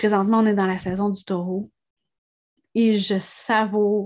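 A woman speaks in a Quebec accent with monotone, flat intonation. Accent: Québécois French. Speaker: podcast host, energy and spirituality coach. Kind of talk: solo podcast monologue. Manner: hesitant, many fillers and repetitions.

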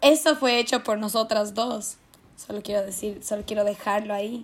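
A woman speaks in a fairly high pitch. Her intonation is fairly even. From Ecuador (Quito). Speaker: podcast co-host, university student. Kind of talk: casual chat.

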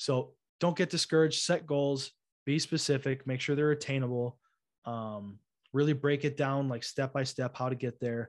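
Over a quiet background, a man speaks at a moderate pace in a plain, everyday voice. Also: fairly high pitch for a man, fairly even intonation. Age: 20s. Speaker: podcast host. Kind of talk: casual chat.

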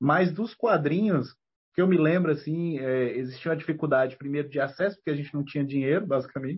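Somewhat breathy speech moves at a fairly quick pace with ordinary pitch variation. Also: man, fairly high pitch for a man. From Brazil, Federal District (Ceilândia, Brasília). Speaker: comic book writer and teacher. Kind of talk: casual interview.

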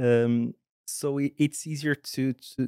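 A man with a Portuguese accent, flat monotone delivery, dry close sound without echo. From Portugal, Porto. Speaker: architect. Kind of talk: interview. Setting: studio. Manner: halting, frequent repetitions.

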